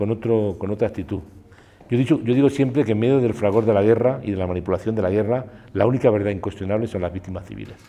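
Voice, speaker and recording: At a very fast pace, a man speaks in a dark, mellow tone. His pitch is fairly low, with ordinary pitch variation. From Spain. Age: 60s. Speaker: war photographer. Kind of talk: interview. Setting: cultural centre.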